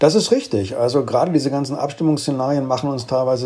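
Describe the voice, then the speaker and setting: This man has a dark, mellow tone and a medium pitch. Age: 50s. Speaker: corporate communications head. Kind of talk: interview. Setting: home office remote connection.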